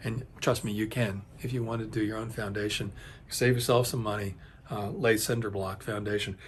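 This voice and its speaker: His voice is somewhat breathy, at a medium pitch for a man. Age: 60s. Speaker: home building video host. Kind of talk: casual tutorial talk to camera. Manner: hesitant, many fillers and restarts.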